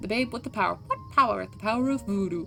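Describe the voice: A female-sounding voice performs a put-on character at a very fast pace. Clear music plays in the background.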